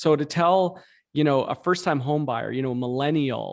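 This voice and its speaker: The recording is very clean and the background silent. The man talks at a moderate pace. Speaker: real estate brokerage co-founder. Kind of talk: interview. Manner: halting, many fillers.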